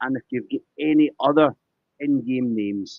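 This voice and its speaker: The speaker talks with a Scottish accent. The intonation is lively. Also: man. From Scotland. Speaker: poker game show host. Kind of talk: live interview. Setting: live stream.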